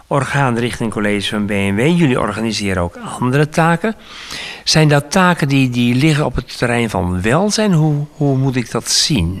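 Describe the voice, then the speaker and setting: A man talks at a moderate pace. His medium-pitched voice swings very widely up and down. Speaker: radio interviewer. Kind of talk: interview. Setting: studio.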